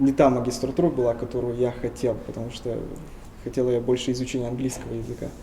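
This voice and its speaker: A man speaks at a medium pitch. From Tuva, Russia. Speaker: linguist. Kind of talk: interview.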